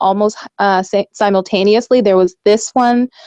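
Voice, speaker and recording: A woman's fairly high voice with a dark, mellow tone, in a dry, close sound with no echo. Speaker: activist filing lawsuits against courts. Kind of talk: radio interview. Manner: fast; passionate, emphatic.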